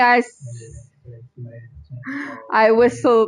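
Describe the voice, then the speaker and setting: A woman's high-pitched voice. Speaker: game streamer. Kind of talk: casual chat. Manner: halting.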